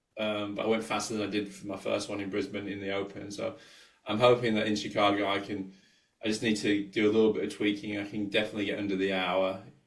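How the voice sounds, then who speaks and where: In a room with audible echo, a man talks very fast at a fairly low pitch with monotone, flat intonation. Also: big swings in loudness. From England. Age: 40s. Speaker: sports scientist and coach. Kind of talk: podcast interview.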